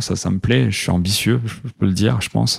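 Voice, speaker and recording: Speaking at a fairly quick pace, a man uses a fairly low-pitched voice. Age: 30s. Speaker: startup co-founder. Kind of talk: casual interview. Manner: hesitant with fillers.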